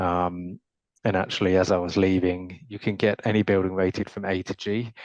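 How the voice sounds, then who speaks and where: Speaking with a British accent, a man has a very deep, low voice and a flat monotone, recorded dry and close with no echo over a quiet background. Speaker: panelist in architecture workshop. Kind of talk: panel discussion. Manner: hesitant, many fillers.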